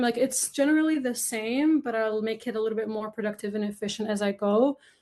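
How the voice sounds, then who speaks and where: Fairly high for a woman, her voice keeps a fairly even intonation at a fairly quick pace. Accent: Arabic. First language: Arabic. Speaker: upcycled clothing brand founder. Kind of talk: podcast interview. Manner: casual, filler-heavy.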